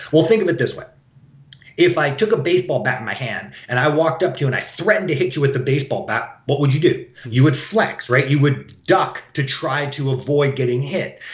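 An unremarkable speaking voice goes along fairly quickly, with normal variation in pitch. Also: man, fairly high pitch for a man. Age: 40s. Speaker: chiropractor. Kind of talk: interview.

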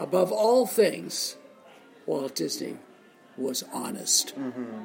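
With an American accent, a man is heard over noticeable background noise. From US Northeast (Boston, Massachusetts). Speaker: author and former broadcaster. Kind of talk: interview. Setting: in person in a lounge.

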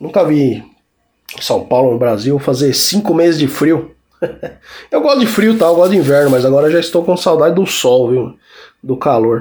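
A man's fairly high voice, dark and mellow in tone, at a moderate pace with ordinary pitch variation. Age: 40s. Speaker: podcast host and music journalist. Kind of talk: casual solo podcast talk.

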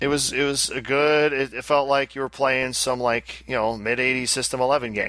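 With a strong upstate New York accent, a man talks in a monotone, flat way with hardly any pauses. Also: medium pitch for a man, fairly quick pace. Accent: Albany upstate New York, thick. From Albany, upstate New York. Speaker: podcast host. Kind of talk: casual banter, podcast chat.

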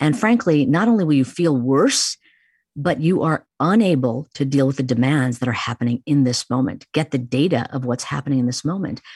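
A woman with an American accent and a very deep, low pitch speaks at a fairly quick pace with lively intonation, dry and close with no echo on a very clean recording with a silent background. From US Midwest, Chicago. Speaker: neuroscientist, psychology professor. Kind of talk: interview.

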